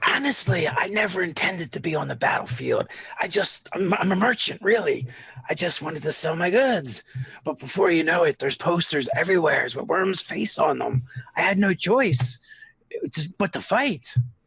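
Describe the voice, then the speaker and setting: A raspy, put-on character voice delivers lines at a moderate pace in a middle pitch. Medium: actual play. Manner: casual, rambling.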